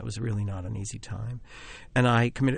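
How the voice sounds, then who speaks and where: A man's medium-pitched, somewhat breathy voice with an American accent, ordinary pitch variation and a very fast pace, against a quiet background. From US Northeast (Philadelphia suburbs). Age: 50s. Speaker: playwright and film director. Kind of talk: interview.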